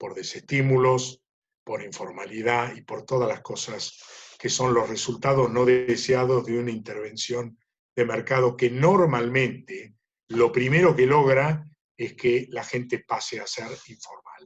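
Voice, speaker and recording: A man's somewhat breathy voice moves at a fairly slow pace with fairly even intonation. His loudness swings widely. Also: medium pitch for a man. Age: 70s. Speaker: livestock market analyst. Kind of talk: webinar Q&A talk.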